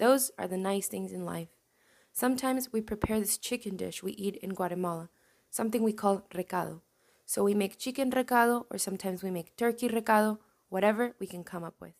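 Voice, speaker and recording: On a very clean recording with a silent background, a woman uses an ordinary speaking voice at medium pitch, talking at a fairly quick pace with fairly even intonation and big swings in loudness. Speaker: podcast host. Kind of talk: reading aloud.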